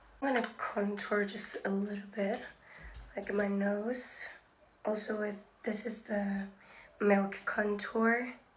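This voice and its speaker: Over noticeable background noise and audible room echo, a woman at medium pitch speaks at a very slow pace in a monotone, flat intonation, with long, frequent pauses. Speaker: beauty influencer. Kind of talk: makeup tutorial. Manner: casual, chatty.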